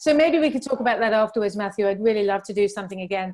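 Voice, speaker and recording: Talking at a very fast pace, a woman with a British accent uses ordinary pitch variation. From England. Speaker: crypto channel host. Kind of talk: video interview.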